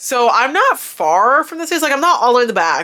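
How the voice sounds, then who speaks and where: An animated tone comes from a woman speaking with an American accent. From Florida, US. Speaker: vlogger. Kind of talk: casual vlog recap.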